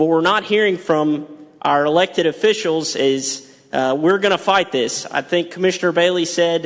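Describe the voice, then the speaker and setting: With a Texas accent, a man speaks at a moderate pace in a high pitch, with ordinary pitch variation and very even loudness, over noticeable background noise. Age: 20s. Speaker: farmer, public commenter. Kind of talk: public comment at county meeting. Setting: county courtroom with audience. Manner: halting.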